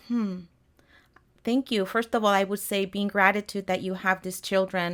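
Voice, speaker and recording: On a very clean recording with a silent background, a woman with a Spanish accent talks at medium pitch with fairly even intonation. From Mexico City, Mexico. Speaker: health coach. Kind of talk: interview. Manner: halting.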